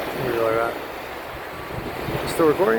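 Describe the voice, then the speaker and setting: A man mumbles his words. There is noticeable background noise. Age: 50s. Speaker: chef. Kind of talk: casual talk to camera. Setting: outdoors. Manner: mumbling.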